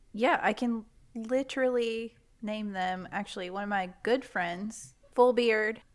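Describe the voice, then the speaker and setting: This woman has a normal speaking voice, fairly high in pitch, with fairly even intonation and a fairly slow pace. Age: 20s. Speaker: podcaster. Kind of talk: casual chat.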